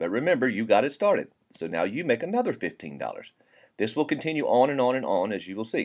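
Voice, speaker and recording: A man talks very fast at a medium pitch, with very wide pitch swings. Vocal fry comes through against a quiet background. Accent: Southern US. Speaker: network marketing presenter. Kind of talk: sales pitch. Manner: casual, folksy.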